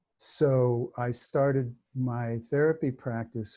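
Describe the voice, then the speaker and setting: A man's somewhat breathy voice, dark and mellow in tone, at medium pitch. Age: 70s. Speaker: hypnotherapist and teacher. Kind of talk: interview. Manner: halting, many fillers.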